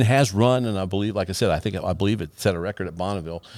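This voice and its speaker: Lively intonation runs through this recording of a normal speaking voice. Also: man. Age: 60s. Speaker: podcast host. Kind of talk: casual chat. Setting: studio.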